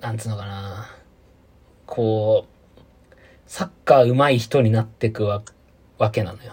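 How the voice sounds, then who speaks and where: Somewhat breathy, a man speaks at a medium pitch and a fairly slow pace. His loudness swings widely, and he leaves long, frequent pauses. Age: 30s. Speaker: podcast co-host. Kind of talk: casual chat. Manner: animated.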